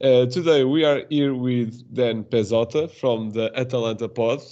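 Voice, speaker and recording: A man talks with a Portuguese accent and ordinary pitch variation. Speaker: podcast host. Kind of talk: podcast interview. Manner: halting.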